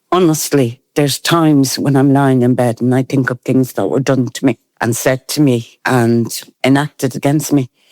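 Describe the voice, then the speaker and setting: This speaker talks at a moderate pace with an Irish accent. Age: 70s. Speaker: interviewee, mixed-race care survivor. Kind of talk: personal testimony.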